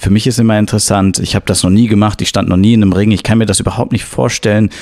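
Intonation stays fairly even throughout. The delivery is very fast. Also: man. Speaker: podcast host. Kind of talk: interview.

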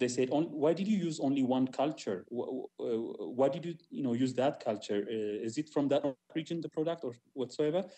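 Over a quiet background, a man talks with lively intonation and a dark, mellow tone. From Ethiopia. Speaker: jazz musician and music teacher; music teacher. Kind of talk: panel discussion. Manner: halting. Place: home room. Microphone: video call.

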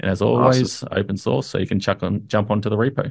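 Against a quiet background, a man talks in a fairly low pitch with ordinary pitch variation. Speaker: community update host. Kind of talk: commentary. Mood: upbeat, relaxed. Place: home room. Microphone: studio mic.

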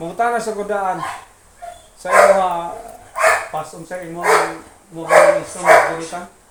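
A man's high-pitched voice at a fairly slow pace, with fairly even intonation and long, frequent pauses, amid noticeable background noise and audible room echo. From Mindanao, Philippines. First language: Cebuano (Bisaya) (speaking Tagalog). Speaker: vlogger. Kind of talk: casual vlog narration.

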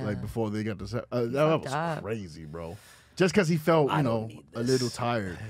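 Noticeable background noise sits behind a dry sound with no echo. A man with a New York accent talks at a moderate pace and medium pitch, his pitch swinging very widely. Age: 30s. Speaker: podcast host. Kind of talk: casual street slang. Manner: casual, interrupts others. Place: studio. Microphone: studio mic.

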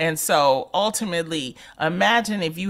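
Here a woman talks with an ordinary speaking voice. Her pitch variation is ordinary. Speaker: radio host. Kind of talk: casual chat.

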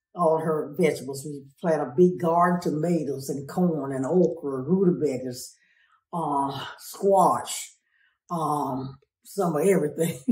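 Her pitch is very deep and low for a woman, with ordinary pitch variation and a fairly slow pace. Audible room echo surrounds the voice over a quiet background. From rural farm upbringing. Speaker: family caregiver. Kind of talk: interview answer. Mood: warm, relaxed reminiscing. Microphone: phone near.

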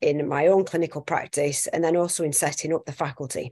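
A woman speaks at a fairly quick pace. Her pitch is very deep and low, and her intonation fairly even. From northwest England (Accrington, Lancashire). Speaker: consultant anaesthetist. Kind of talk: presentation.

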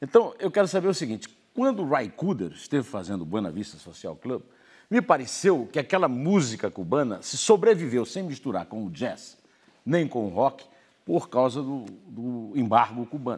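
A man talks at a moderate pace with vocal fry and very wide pitch swings. His loudness swings widely over a quiet background. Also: medium pitch for a man. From Brazil. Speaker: newspaper editorial writer and commentator; newspaper editorial writer, commentator. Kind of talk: TV interview questions. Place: studio. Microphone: lapel.

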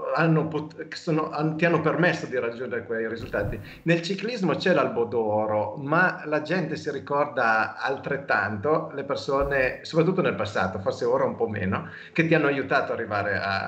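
Using lively intonation, a man talks at a fairly high pitch. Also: moderate pace. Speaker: cycling podcast host. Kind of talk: casual interview. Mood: warm, enthusiastic about cycling. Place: home room. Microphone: video call.

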